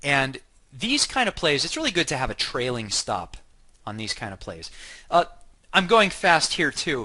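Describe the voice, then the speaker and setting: Against a quiet background, the voice has a bright, sharp tone and very wide pitch swings. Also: man. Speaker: software company chief architect giving a product demo. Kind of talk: software tutorial webinar. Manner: fast.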